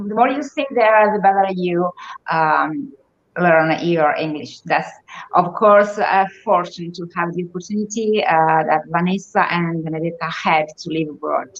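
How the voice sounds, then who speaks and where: A woman's fairly low-pitched voice with an Italian accent, at a fairly slow pace and with ordinary pitch variation. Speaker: guest. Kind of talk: casual chat.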